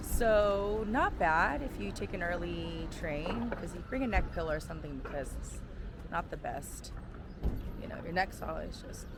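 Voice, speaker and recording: Noticeable background noise and an audible room echo surround a woman as she speaks. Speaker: travel vlogger. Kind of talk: travel vlog. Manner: casual.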